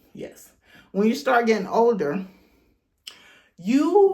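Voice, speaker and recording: A woman speaks very slowly in a somewhat breathy voice. Her tone is dark and mellow. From Jamaica. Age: 50s. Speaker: YouTube talk show host. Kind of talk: casual talk and hair tutorial. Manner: conversational, chatty.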